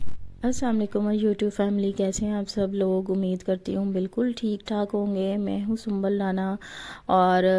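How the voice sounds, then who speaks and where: On a very clean recording with a silent background, a woman talks at a fairly slow pace in a medium pitch, her tone dark and mellow and her intonation monotone and flat. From Pakistani Punjab, near Faisalabad. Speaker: vlogger. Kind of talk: travel vlog narration. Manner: casual, hesitant with fillers.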